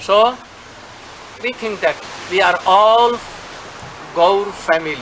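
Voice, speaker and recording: An Indian accent at a very slow pace, with long, frequent pauses and noticeable background noise. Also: man, high pitch for a man, ordinary pitch variation. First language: Hindi or Bengali. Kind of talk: address to followers. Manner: halting.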